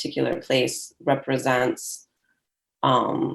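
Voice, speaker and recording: A woman with a Michigan accent, at a very slow pace. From Michigan, US. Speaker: poet. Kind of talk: panel discussion. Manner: halting, many fillers.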